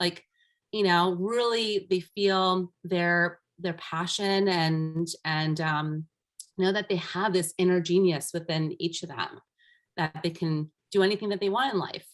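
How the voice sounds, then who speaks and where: A woman talks fairly slowly at a fairly low pitch, with fairly even intonation. The recording is very clean, with a silent background. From US, Armenian-Iranian immigrant family. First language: Armenian. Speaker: life empowerment coach. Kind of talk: podcast interview.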